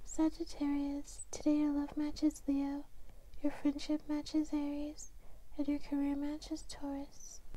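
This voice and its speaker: A soft-spoken woman whispering at a fairly slow pace. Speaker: ASMR creator. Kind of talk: ASMR horoscope reading. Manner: whispered, soft. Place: home room. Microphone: lapel.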